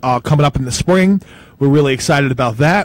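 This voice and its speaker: A man talks at a very fast pace in a strong New Jersey accent. His fairly high voice is somewhat breathy, with ordinary pitch variation. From North Bergen, New Jersey. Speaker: pizza show host. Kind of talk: casual chat. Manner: halting, many fillers.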